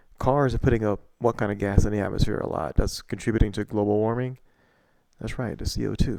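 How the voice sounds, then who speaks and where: Speaking at a very fast pace, a man keeps his intonation fairly even. His voice is fairly low, with a dark, mellow tone. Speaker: science educator. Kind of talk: lecture. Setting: home recording at night. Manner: quiet; halting. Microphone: poorly placed mic.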